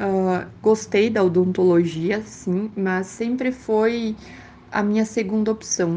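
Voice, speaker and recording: Speaking very slowly, a woman of medium pitch uses a dark, mellow tone and fairly even intonation. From Brazil, Rio Grande do Sul. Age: 20s. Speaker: medical student and dentist. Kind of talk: interview. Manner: hesitant with fillers.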